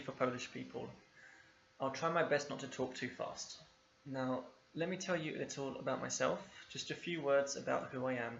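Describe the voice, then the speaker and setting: A man with a London accent and a fairly high pitch, at a fairly quick pace with fairly even intonation, amid audible room echo. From England, East London. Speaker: English teacher. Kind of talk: video lesson.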